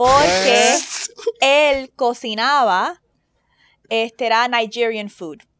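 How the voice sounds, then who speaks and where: A woman speaks in a plain, everyday voice, pitched fairly high. Her intonation is lively. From Caribbean. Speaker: podcast host. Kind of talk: casual chat.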